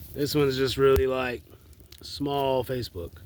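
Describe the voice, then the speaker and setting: A man at medium pitch with an Appalachian accent. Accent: Southern US (Appalachian North Carolina). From US South, Asheville, North Carolina. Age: 20s. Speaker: vlogger. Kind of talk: personal video message. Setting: outdoors in the woods at night by a fire. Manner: halting, many fillers.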